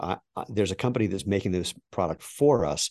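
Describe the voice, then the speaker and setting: A man's normal speaking voice, fairly low in pitch, quick-ish in pace and lively in intonation, with a dry, close sound with no echo over a quiet background. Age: 60s. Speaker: shoe company founder and masters sprinter. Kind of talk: interview.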